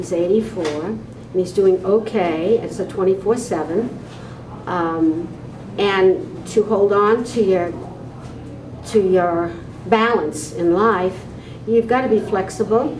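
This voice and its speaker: Speech comes at a very slow pace with long, frequent pauses and ordinary pitch variation, over noticeable background noise and audible room echo. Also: woman, medium pitch for a woman. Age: 70s. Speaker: interviewee on aging. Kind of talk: interview testimony.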